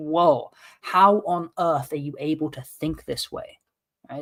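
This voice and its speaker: Recorded dry and close with no echo, a man speaks in a high pitch with a British accent. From England, London. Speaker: political commentary co-host. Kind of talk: casual chat. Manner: halting.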